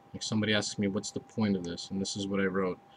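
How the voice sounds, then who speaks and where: A man with a fairly low-pitched voice speaks over noticeable background noise. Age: 60s. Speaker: vlogger. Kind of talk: casual personal video diary. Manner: halting, with many restarts and fillers.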